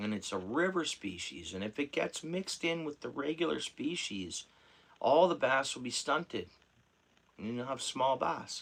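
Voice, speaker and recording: Using vocal fry, a man with a fairly high pitch swings it very widely at a moderate pace, leaving long, frequent pauses. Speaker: fishing livestreamer. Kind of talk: casual livestream chat. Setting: at home.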